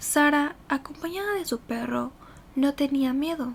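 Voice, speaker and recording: A high-pitched woman speaks at a fairly slow pace with ordinary pitch variation. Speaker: ASMR creator. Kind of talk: horror story narration for ASMR. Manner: soft-spoken, slow.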